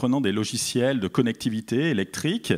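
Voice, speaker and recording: Recorded very cleanly against a silent background, a man speaks at a medium pitch and a fairly slow pace. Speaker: landscape architect. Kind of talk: conference talk. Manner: hesitant, many fillers.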